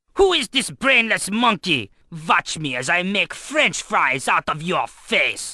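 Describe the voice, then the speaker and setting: The voice is a put-on character. Its pitch is in the middle. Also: fairly slow pace. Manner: mocking, aggressive.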